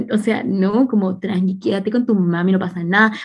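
A woman speaks with a Chilean accent at a medium pitch. Her somewhat breathy voice moves at a moderate pace with ordinary pitch variation. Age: 20s. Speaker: podcast host. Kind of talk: casual chat.

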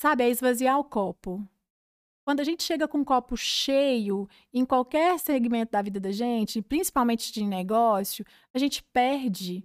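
A woman's high-pitched, lively voice at a moderate pace, dry and close with no echo, in a very clean recording with a silent background. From Brazil, Minas Gerais (Cláudio). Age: 30s. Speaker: physiotherapist and franchise entrepreneur. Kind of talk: interview conversation.

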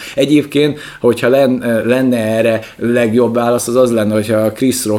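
A man's medium-pitched voice at a fairly quick pace, ordinary pitch variation, and noticeable background noise. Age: 30s. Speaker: podcast co-host. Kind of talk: casual chat. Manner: animated.

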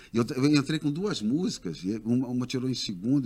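The man has a dark, mellow tone at medium pitch. His intonation is lively. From Rio de Janeiro, raised partly in Brasília. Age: 60s. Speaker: singer. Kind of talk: casual interview chat.

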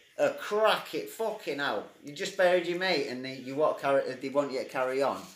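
The speaker talks at a fairly quick pace with hardly any pauses, over noticeable background noise. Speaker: co-host. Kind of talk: casual chat.

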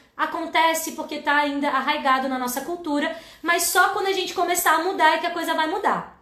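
A woman talks at a fairly quick pace in an extremely high pitch, her raised, projected voice bright and sharp in tone and animated, with audible room echo. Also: hardly any pauses. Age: 30s. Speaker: educator and live-stream host. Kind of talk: educational livestream talk.

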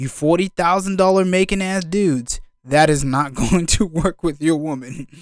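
Moderate in pace and with ordinary pitch variation, this is an ordinary speaking voice. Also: man. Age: 20s. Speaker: podcast host. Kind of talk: casual commentary monologue.

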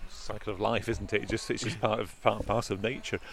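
The man's medium-pitched voice comes through noticeable background noise. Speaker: podcast host. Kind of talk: interview. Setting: outdoors.

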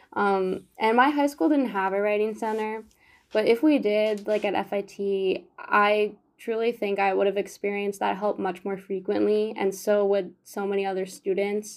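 In a very clean recording with a silent background, a woman with a normal speaking voice talks at a moderate pace, her medium pitch held in fairly even intonation. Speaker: design student and writing tutor. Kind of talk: casual interview.

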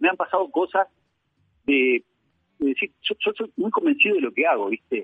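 A man talks at a fairly quick pace. He speaks with a Uruguayan accent. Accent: Rioplatense Spanish (Uruguayan). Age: 50s. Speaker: painter. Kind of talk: interview. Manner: halting, many repetitions and fillers.

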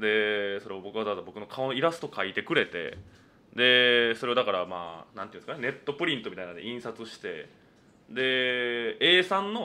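Lively in intonation, a man speaks at a fairly quick pace with a medium pitch and big swings in loudness. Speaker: comedian. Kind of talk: solo radio talk. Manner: talkative.

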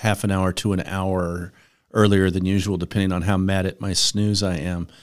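A man with a normal speaking voice, fairly low in pitch, with fairly even intonation. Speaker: financial advisor. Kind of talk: casual business discussion. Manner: conversational, hedging with fillers.

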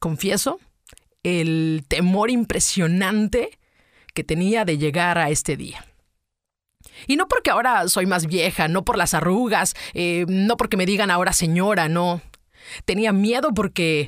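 A woman's medium-pitched voice with a Mexican accent, fairly slow with long, frequent pauses and ordinary pitch variation, on a very clean recording with a silent background. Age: 40s. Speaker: podcaster. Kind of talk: personal monologue. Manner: animated.

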